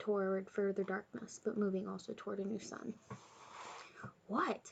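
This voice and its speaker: A woman whispers, soft-spoken throughout. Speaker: ASMR reader. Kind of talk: audiobook reading of a novel. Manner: whispered, soft-spoken.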